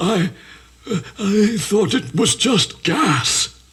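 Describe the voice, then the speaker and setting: A man's put-on character voice, high-pitched, with lively intonation at a very slow pace. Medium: stage play. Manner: deferential, hesitant.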